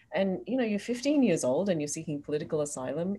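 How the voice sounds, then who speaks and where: A woman's somewhat breathy, dark, mellow voice in an Australian accent, fairly low in pitch with very wide pitch swings. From Australia, Sydney. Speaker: expat resident of Hong Kong. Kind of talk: casual chat.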